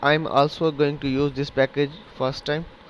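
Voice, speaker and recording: A man with a Pakistani accent at a moderate pace. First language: Urdu. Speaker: programming tutor. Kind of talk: tutorial. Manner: hesitant, halting with fillers.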